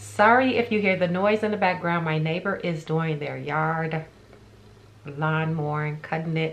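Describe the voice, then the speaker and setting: Light background noise accompanies a voice at a moderate pace with ordinary pitch variation. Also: woman. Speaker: beauty vlogger. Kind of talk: casual vlog chat. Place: home room. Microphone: phone near.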